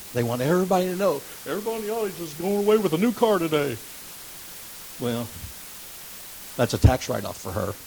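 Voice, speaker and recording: Over noticeable background noise, a man with a high voice races at a very fast pace, his pitch swinging very widely and his loudness rising and falling sharply, broken by long, frequent pauses. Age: 60s. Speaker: lay preacher teaching Bible study. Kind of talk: Bible study lesson. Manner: halting, repeats words.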